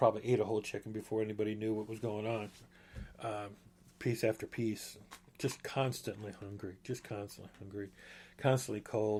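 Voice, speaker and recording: With a dark, mellow, somewhat breathy tone, a man talks at a fairly quick pace in a monotone, flat delivery broken by long, frequent pauses. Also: fairly low pitch for a man. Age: 60s. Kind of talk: personal testimony podcast. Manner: casual, halting with fillers and restarts.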